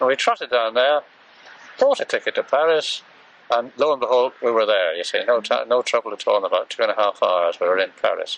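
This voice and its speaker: Recorded dry and close with no echo, a man talks at a fairly quick pace with an English accent. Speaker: war veteran. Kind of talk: interview answer.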